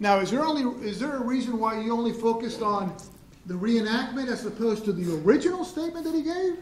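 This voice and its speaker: A man speaks at a very fast pace with an extremely high pitch and lively intonation. Noticeable background noise and audible room echo fill the recording. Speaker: prosecutor. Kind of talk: courtroom cross-examination. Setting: courtroom. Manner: loud.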